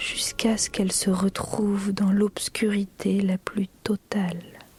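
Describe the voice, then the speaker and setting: A woman speaks at a very slow pace in a monotone, flat delivery with very even loudness. The sound is dry and close with no echo, and background noise is noticeable. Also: medium pitch for a woman. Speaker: voice actor. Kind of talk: read story. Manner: slow, suspenseful.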